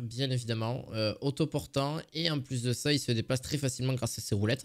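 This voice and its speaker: A man with a southern French accent speaks at a fairly slow pace, using ordinary pitch variation. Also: very clean recording, silent background. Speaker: product review youtuber. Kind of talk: product review video. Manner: hesitant, many fillers; casual, chatty.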